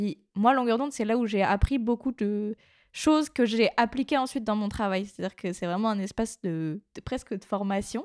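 A woman with an unremarkable speaking voice talks at a moderate pace, fairly high in pitch and with ordinary pitch variation. The very clean recording sounds dry and close, with no echo and a silent background. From Brittany, near Brest, France. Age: 20s. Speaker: podcast intern and co-host. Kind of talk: casual chat.

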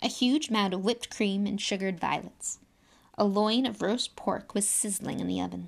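What you hear is a natural reading voice throughout.

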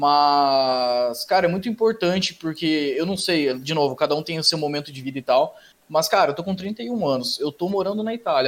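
With an ordinary speaking voice, a man talks at a fairly quick pace, his pitch fairly high and his pitch variation ordinary. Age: 30s. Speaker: podcast host. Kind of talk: casual chat.

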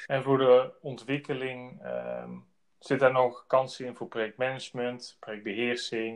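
Man at a fairly slow pace, monotone, flat intonation. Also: medium pitch for a man, big swings in loudness. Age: 30s. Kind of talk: business interview. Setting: outdoors on site.

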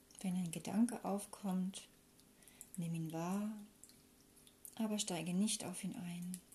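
With a dark, mellow tone that is calm and soothing, a woman speaks very slowly at a medium pitch, somewhat breathy, with fairly even intonation and long, frequent pauses. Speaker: meditation guide. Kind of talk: guided meditation. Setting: recorded with flowing water sound in background. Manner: slow, calm, soothing; gentle, unhurried with long pauses.

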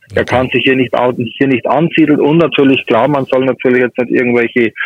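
Over noticeable background noise, a man with a Bavarian accent speaks with fairly even intonation. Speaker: pest control expert. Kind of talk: phone interview.

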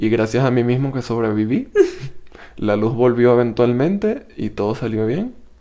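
Medium in pitch with ordinary pitch variation, the man's voice has a dark, mellow tone. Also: moderate pace. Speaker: podcast co-host. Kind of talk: casual chat. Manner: speaks very quietly.

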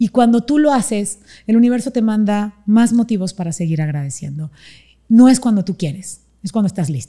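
A woman at medium pitch speaks with lively intonation at a moderate pace, her tone dark, mellow and somewhat breathy. The recording is very clean with a silent background. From Panama. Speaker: motivational speaker. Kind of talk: interview.

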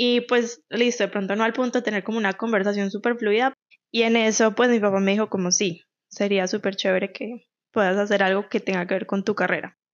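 A woman with a Colombian Paisa accent talks at a medium pitch. Her pace is fairly quick and her intonation fairly even. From Colombia, Medellín. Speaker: podcast co-host. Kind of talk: casual chat.

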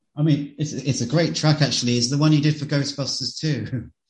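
A fairly high-pitched man with an English accent, lively intonation and a fairly quick pace. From England. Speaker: podcast host. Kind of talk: interview; scripted intro. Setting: call.

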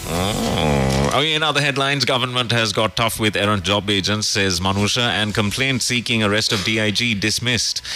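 A man with a fairly low pitch talks at a fairly quick pace, with lively intonation, very even loudness and hardly any pauses. Noticeable background noise runs underneath.

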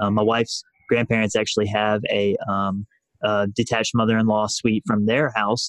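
A man talks at a fairly quick pace in a Southern US accent. His fairly low voice stays monotone and flat. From US South, rural north Alabama. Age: 20s. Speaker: financial independence blogger. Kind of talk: casual interview.

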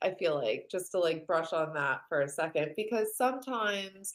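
A woman uses an ordinary speaking voice with lively intonation at a moderate pace. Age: 30s. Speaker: podcast guest, content creator. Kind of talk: casual chat.

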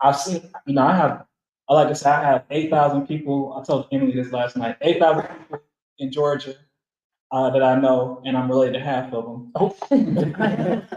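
A man with an American accent has a normal speaking voice, fairly high in pitch. His intonation stays fairly even at a moderate pace. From US South, Atlanta. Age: 20s. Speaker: activist. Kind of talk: group discussion.

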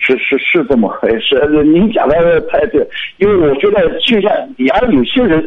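A man speaks at a moderate pace with very even loudness. Noticeable background noise is present. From Shanghai. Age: 50s. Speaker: caller. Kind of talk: radio call-in. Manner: halting.

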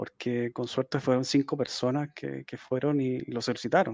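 A man speaks at a moderate pace in a medium pitch with fairly even intonation. The sound is dry and close with no echo, over a quiet background. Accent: Chilean. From Chile, Santiago. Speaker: marine biologist and IT graduate student. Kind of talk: casual interview. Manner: halting, many repetitions and fillers.

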